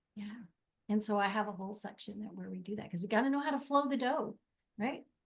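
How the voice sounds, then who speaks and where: At a very fast pace, a woman talks with a fairly high, somewhat breathy voice, ordinary pitch variation and big swings in loudness. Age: 60s. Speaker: life coach. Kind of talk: interview.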